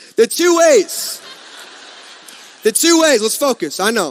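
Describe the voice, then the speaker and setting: A loud, energetic tone at a moderate pace, with ordinary pitch variation. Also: man. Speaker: network marketing speaker. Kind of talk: motivational speech. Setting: stage with audience.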